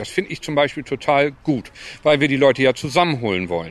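His pace is fairly quick and his pitch is medium. The man's intonation is lively. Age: 50s. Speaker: sports club chairman. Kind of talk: interview. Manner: halting.

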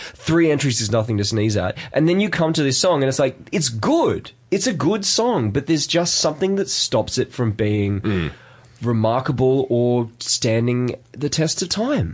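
Somewhat breathy, the voice carries an Australian accent at a moderate pace. Its loudness stays very even. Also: man, medium pitch for a man. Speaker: podcast co-host. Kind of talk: casual chat.

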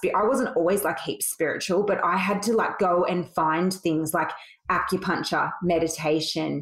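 Someone with an Australian accent speaks at a moderate pace with ordinary pitch variation and very even loudness, amid noticeable background noise. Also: woman, fairly low pitch for a woman. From Sydney, Australia. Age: 40s. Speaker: beauty salon owner. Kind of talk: casual interview chat.

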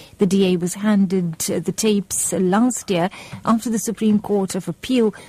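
Somewhat breathy and dark, mellow in tone, a woman speaks at a moderate pace in a medium pitch, the sound dry and close with no echo. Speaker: radio newsreader. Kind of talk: radio news bulletin reading. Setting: radio studio. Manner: formal, brisk, even-paced newsreader delivery.

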